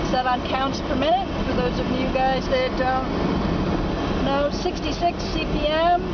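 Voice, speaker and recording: Loud background noise accompanies the voice, which has a dry sound with no echo. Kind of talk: casual running commentary. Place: car. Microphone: phone near.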